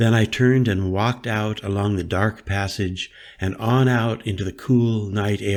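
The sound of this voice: A reading voice that is unforced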